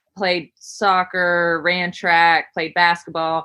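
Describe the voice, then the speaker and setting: Speaking very slowly with a West Virginia accent, a woman has a bright, sharp tone. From West Virginia, Camp Creek. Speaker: gym owner and coach. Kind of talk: podcast interview.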